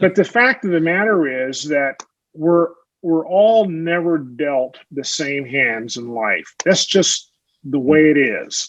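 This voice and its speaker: Very slowly and with lively intonation, a man speaks at a fairly high pitch against a quiet background. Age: 60s. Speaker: retired NASA veteran and author. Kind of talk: podcast interview. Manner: halting, many fillers and repeats.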